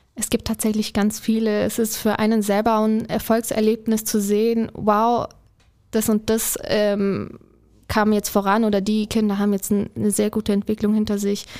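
A woman's fairly high voice with a dark, mellow tone, at a moderate pace and in a flat monotone. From Allgäu, Bavaria. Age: 20s. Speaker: childcare worker in training. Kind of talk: casual interview.

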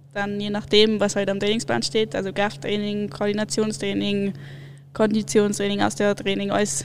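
There is noticeable background noise as a woman talks at a moderate pace, her pitch medium with ordinary variation. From Munich, Bavaria. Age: 20s. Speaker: alpine ski racer. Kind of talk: casual interview.

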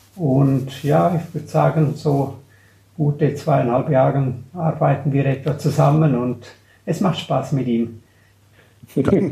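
Pausing long and often, a man with a fairly high pitch and ordinary pitch variation speaks at a very slow pace. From Graubünden, Switzerland. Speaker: portfolio manager. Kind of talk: casual interview.

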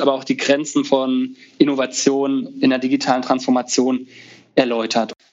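Over noticeable background noise, a man speaks at a moderate pace with a medium pitch in monotone, flat intonation. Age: 30s. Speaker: resident physician and conference founder. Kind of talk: casual interview.

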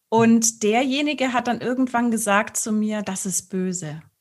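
The woman's voice is fairly high in pitch and somewhat breathy. Her pitch variation is ordinary. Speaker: sex coach and speech therapist. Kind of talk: casual interview. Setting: studio video recording.

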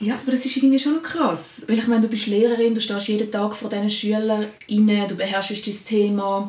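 Moderate-paced speech from a woman, fairly high in pitch, amid noticeable background noise. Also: fairly even intonation. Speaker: secondary school teacher. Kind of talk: casual chat.

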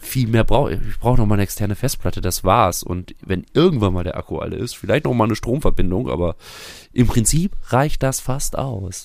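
At a fairly quick pace, a man with an unremarkable speaking voice talks in a medium pitch with lively intonation. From Germany, near Bielefeld (East Westphalia). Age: 40s. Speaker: musician. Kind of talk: casual chat.

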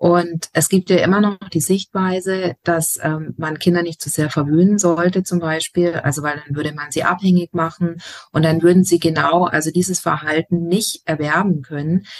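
A woman with a fairly low pitch speaks in a monotone, flat way, with hardly any pauses. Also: moderate pace, dry, close sound with no echo. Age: 40s. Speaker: educator and family counselor. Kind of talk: interview.

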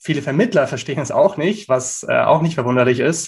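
Somewhat breathy and fairly high in pitch, a man's voice moves at a fairly quick speed. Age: 20s. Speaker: startup founder. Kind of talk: interview. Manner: hesitant with frequent fillers.

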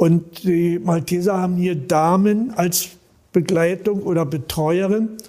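Against noticeable background noise, a man with a high-pitched voice speaks at a very slow pace. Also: fairly even intonation. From Berlin. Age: 80s+. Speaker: volunteer paramedic. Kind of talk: interview. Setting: on location, not studio.

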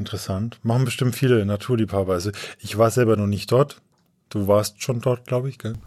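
This is an ordinary speaking voice from a man of medium pitch. He talks at a fairly quick pace with fairly even intonation. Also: very clean recording, silent background. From Upper Franconia, Coburg. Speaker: podcast host, editor. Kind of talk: casual chat. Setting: studio in Bamberg.

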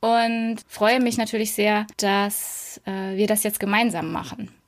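A woman with a fairly high pitch speaks at a very slow pace on a very clean recording with a silent background. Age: 30s. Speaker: podcast co-host. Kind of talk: casual chat.

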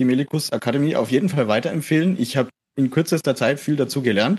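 A man is talking. His voice sounds dry and close, with no echo. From Middle Franconia, near Erlangen. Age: young. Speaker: music student, brass player. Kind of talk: casual interview. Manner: hesitant, many fillers.

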